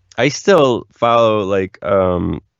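An American accent with ordinary pitch variation. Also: man. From Philadelphia area. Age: 40s. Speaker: singer-songwriter. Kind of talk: casual interview.

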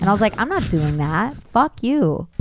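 At a moderate pace, a woman with an American accent speaks with very wide pitch swings. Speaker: actress and voice actor. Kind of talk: casual chat.

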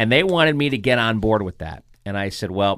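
A man with a plain, everyday voice speaks at a fairly low pitch and a moderate pace, with lively intonation. The recording is very clean, with a silent background. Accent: American. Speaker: sports broadcaster. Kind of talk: casual interview chat. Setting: studio.

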